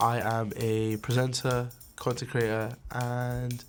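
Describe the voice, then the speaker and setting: A man in a Cardiff accent, medium in pitch, at a very slow pace with fairly even intonation and music in the background. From Wales, Cardiff. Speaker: presenter and public speaker. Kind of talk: personal documentary interview.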